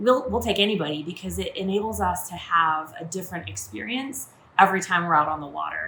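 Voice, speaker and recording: A woman with an American accent uses a plain, everyday voice at a medium pitch with ordinary pitch variation. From Maine, USA. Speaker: yacht chef and first mate. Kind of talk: casual talk to camera.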